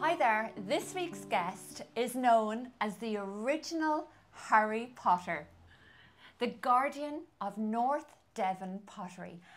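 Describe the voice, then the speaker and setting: A woman speaks at a very slow pace with a fairly high pitch. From west coast of Ireland. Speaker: interviewer. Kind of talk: interview questions.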